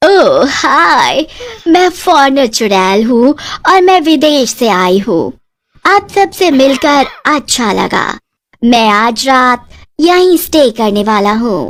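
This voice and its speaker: A woman puts on a cartoonish character voice with a high pitch. She talks at a very slow pace. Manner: English-sprinkled Hindi.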